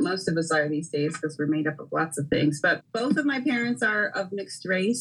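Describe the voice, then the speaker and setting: An American accent is heard through noticeable background noise. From Philadelphia. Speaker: farmer. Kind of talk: interview.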